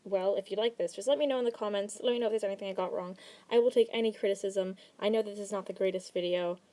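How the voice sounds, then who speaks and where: In a very clean recording with a silent background, a woman with a medium pitch and a dark, mellow tone speaks at a very fast pace with fairly even intonation. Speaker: art commentary youtuber. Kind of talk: commentary monologue.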